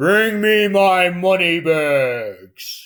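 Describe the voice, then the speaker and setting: A man's put-on character voice, pitched high. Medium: read story.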